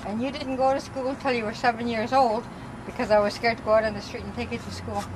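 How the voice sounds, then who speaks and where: A woman talks at a very fast pace with fairly even intonation. Noticeable background noise is present. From Saskatchewan, First Nations reserve. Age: 60s. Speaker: mother on a family trip. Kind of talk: casual chat. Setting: outdoors.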